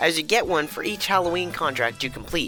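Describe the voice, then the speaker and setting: A fairly quick pace over music in the background. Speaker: gaming YouTuber. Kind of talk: gaming video narration.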